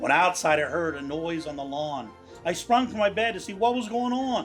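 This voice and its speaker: A man with a Pittsburgh accent, high-pitched for a man, at a moderate pace with very wide pitch swings and music in the background. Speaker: cartoonist. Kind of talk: poetry reading.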